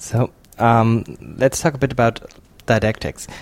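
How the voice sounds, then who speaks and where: Fairly slow speech with a German accent, on a very clean recording with a silent background. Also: man. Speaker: podcast host. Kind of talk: interview. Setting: in person in Oslo.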